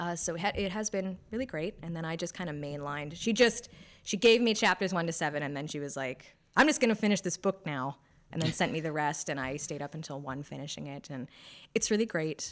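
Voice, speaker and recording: An unremarkable speaking voice from a woman, fairly low-pitched, with lively intonation, in a very clean recording over a silent background. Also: fairly quick pace, big swings in loudness. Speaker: podcast co-host and editor. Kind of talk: casual chat.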